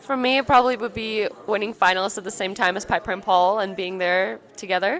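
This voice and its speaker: A woman's medium-pitched voice at a fairly quick pace, with hardly any pauses, ordinary pitch variation and noticeable background noise. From Ukraine. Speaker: ice dancer. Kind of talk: interview.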